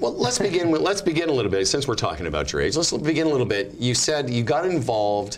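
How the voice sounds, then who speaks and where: A man at medium pitch talks very fast with hardly any pauses, very wide pitch swings and very even loudness. Noticeable background noise and audible room echo are present. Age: 50s. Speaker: business show host. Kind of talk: interview.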